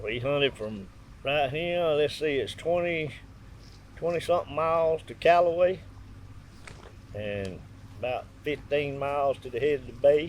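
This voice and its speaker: With a Southern US accent, a man talks at a moderate pace in a fairly high pitch, with ordinary pitch variation and long, frequent pauses. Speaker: dog hunter. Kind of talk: interview answer. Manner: matter-of-fact.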